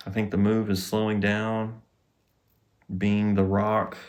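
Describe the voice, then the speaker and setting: With a Southern US accent, a man talks at a fairly slow pace and fairly low pitch in a monotone, flat intonation, with audible room echo. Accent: Southern US drawl. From US South. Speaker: podcast host, healing coach. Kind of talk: casual monologue.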